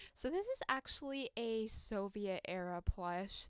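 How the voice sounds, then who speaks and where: A woman speaks at a very slow pace in a fairly high voice. The background is quiet and the sound is dry, with no echo. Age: 20s. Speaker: toy collector YouTuber. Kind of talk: casual show-and-tell vlog. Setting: home room recording. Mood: warm, fond, gentle. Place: home room. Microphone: phone near.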